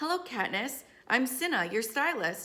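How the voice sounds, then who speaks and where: The pace stays moderate. It is a put-on character voice. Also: woman. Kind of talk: plain, lacking Capitol affectation.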